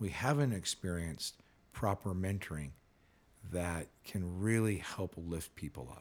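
With an American accent, a man talks at a fairly slow pace in a very deep, low pitch, his intonation lively. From California. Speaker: periodontist and speaker. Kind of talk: casual interview.

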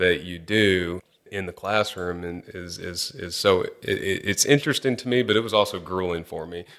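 In a Texan accent, a man with a very deep, low pitch talks at a moderate pace on a very clean recording with a silent background. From Texas (Angleton, near Houston). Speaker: petroleum engineer. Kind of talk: interview conversation.

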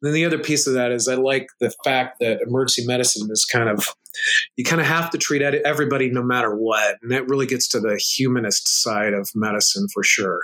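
A man talks at a fairly quick pace in a plain, everyday voice. His medium pitch shows ordinary variation. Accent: American. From United States. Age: 30s. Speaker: emergency physician and powerlifter. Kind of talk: casual interview.

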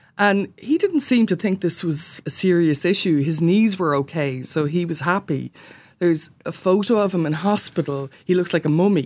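A woman with an Irish accent talks at a moderate pace in a fairly low voice, with ordinary pitch variation against a quiet background. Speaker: sports journalist. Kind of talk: casual chat. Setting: studio.

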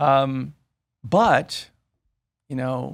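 A loud man speaks with an American accent. The recording is very clean, with a silent background. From US Midwest. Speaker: real estate investor. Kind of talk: casual interview chat. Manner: energetic, passionate; loud, animated.

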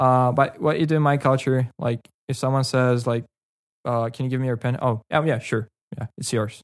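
A man's medium-pitched voice in a North Caucasus accent, with a dry, close sound with no echo and a quiet background. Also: fairly even intonation, moderate pace. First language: Karachay. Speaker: local guest. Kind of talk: casual chat.

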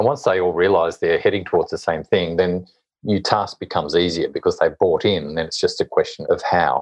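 In an Australian accent, a man talks at a fairly quick pace. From Hobart, Tasmania, Australia. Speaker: author and social impact consultant. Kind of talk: interview.

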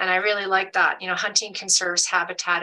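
A woman's medium-pitched voice in a Canadian accent, with monotone, flat intonation. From Alberta, Canada. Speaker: hunting advocate. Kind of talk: panel discussion.

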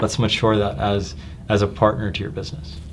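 A man with a fairly low pitch talks at a moderate pace, with audible room echo and noticeable background noise. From New Jersey. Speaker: tech company executive. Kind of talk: casual chat.

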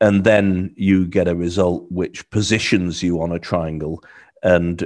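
With a British accent, a man speaks in a very deep, low voice with monotone, flat intonation against a quiet background. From UK. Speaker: cultural training consultant. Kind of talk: interview answers.

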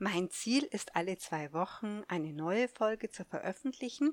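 Her pitch swings very widely as a woman speaks at a very slow pace. The sound is dry and close, with no echo. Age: 50s. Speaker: podcast host and life coach. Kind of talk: solo podcast monologue. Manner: halting, with many fillers.

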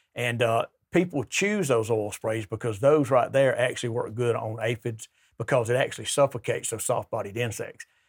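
Somewhat breathy, this man's voice sits at a medium pitch. His pace is moderate. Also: ordinary pitch variation. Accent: Alabama. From US South, southern Alabama. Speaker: sales rep for garden products. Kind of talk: casual interview on gardening.

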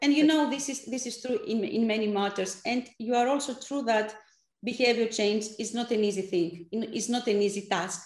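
Someone with a Greek accent talks at a moderate pace with ordinary pitch variation. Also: woman, fairly high pitch for a woman. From Greece. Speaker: app founder, former clinical researcher. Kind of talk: interview. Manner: halting, many fillers.

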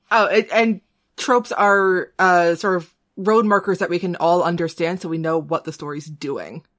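A woman with an unremarkable speaking voice talks at a moderate pace, her fairly low pitch moving with ordinary variation. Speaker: podcast co-host. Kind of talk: casual chat.

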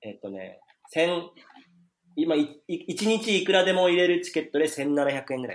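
Lively intonation at a moderate pace, with big swings in loudness. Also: man, high pitch for a man. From Japan, Saitama (Koshigaya). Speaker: restaurant entrepreneur in Africa. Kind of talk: casual chat.

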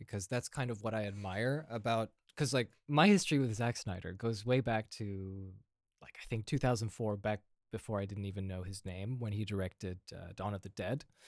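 A normal speaking voice with an American accent, a moderate pace, ordinary pitch variation, big swings in loudness, and a dry, close sound with no echo. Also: man. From Indiana, US. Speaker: guest illustrator and movie fan. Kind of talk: casual chat.

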